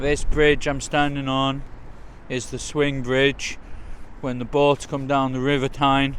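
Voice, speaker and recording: A man with a Geordie accent talks very slowly in a monotone, flat delivery at a fairly high pitch. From north-east England, Newcastle. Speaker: travel vlogger. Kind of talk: walking vlog tour. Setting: outdoors. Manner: casual.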